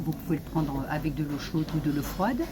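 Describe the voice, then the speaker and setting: Against noticeable background noise, a woman with a very deep, low pitch speaks with ordinary pitch variation. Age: 60s. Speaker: social media influencer promoting supplements. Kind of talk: sales pitch / testimony. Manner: halting, many hesitations.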